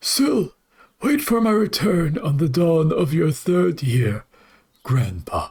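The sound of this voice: A put-on character voice at a middle pitch unfolds at a fairly slow pace.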